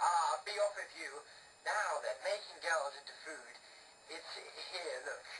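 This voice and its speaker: A cackling, put-on character voice comes through at a fairly slow pace. Clear background noise is present. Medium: read story. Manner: cackling, gloating.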